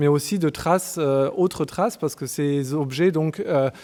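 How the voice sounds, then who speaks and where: Moderately paced speech from a man, pitched fairly high, with ordinary pitch variation. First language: German (speaking French). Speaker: archaeologist. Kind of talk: conference talk. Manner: halting, many hesitations.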